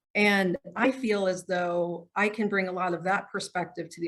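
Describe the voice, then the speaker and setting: Medium pitch from a woman, delivered at a fairly slow pace. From US Midwest, Chicago. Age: 40s. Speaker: church leader. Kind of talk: panel interview.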